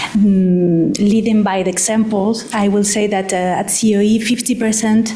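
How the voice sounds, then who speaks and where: With a Spanish accent, a woman speaks at a moderate pace with ordinary pitch variation, amid audible room echo and noticeable background noise. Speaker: employers' organization representative. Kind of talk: panel discussion. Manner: halting.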